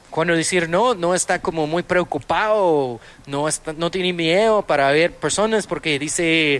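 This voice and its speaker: With ordinary pitch variation, the voice proceeds at a fairly slow pace. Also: man. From Austin, Texas. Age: 30s. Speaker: restaurant owner and entrepreneur. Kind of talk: interview. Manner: halting.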